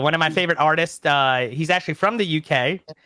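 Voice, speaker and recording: This man speaks at a very fast pace with a fairly high pitch. His tone is animated. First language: not English (parents European). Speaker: YouTube content creator, wrestling fan. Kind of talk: casual interview chat. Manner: fast, animated.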